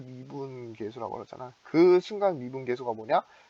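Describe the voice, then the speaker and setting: Speaking at a fairly quick pace, a man with a medium-pitched voice and lively intonation sounds dry and close, with no echo. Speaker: student chemistry club tutor. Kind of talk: lecture. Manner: fast; halting, many fillers.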